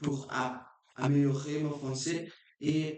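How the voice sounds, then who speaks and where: A man with a Portuguese accent at a very slow pace, with audible room echo. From Brazil. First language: Portuguese (speaking French). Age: 20s. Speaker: language learner vlogger. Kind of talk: unscripted practice monologue. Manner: halting, with many restarts.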